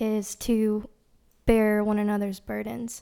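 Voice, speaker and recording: A woman's fairly high-pitched voice with a dark, mellow tone and a Tennessee accent, on a very clean recording with a silent background. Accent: Southern US (Tennessee). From East Tennessee, US South. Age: young. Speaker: nursing student, church worship team member. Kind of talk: testimony.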